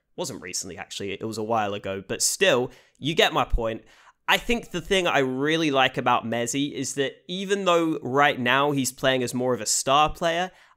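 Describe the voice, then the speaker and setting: A man speaks at a medium pitch, captured on a very clean recording with a silent background. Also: lively intonation, moderate pace. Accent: British. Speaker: esports commentator / YouTuber. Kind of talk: casual commentary video.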